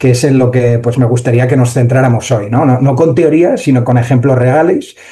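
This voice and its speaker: A man with a Spanish accent speaks at a medium pitch in a dark, mellow, somewhat breathy tone. His loudness stays very even and his intonation fairly even. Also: moderate pace. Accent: Spanish (Spain). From Spain. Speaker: AI entrepreneur and conference speaker. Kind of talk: conference talk. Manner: hesitant, many fillers.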